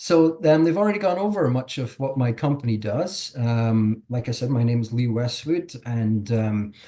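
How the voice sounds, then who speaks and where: Medium-pitched, somewhat breathy male voice with a dark, mellow tone. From Scotland. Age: 40s. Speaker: regulatory consultant. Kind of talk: webinar presentation. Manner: hesitant, many fillers.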